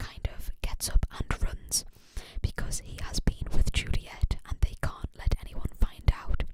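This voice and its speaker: Noticeable background noise fills the recording. The speaker talks in a whisper. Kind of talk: ASMR whispered ramble about a book series. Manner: whispered, soft.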